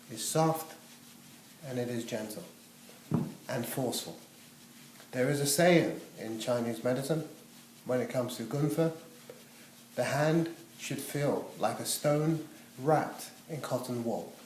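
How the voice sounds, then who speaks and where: At a fairly slow pace with long, frequent pauses, a man of medium pitch and ordinary pitch variation speaks amid audible room echo and noticeable background noise. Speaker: massage therapy teacher. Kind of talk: demonstration tutorial.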